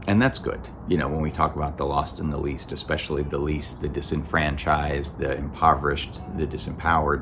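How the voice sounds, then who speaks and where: Amid noticeable background noise and audible room echo, a man with an American accent talks fairly quickly in a monotone, flat delivery at a very deep, low pitch. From US South, Georgia. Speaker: pastor. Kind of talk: recorded sermon. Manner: conversational, with fillers.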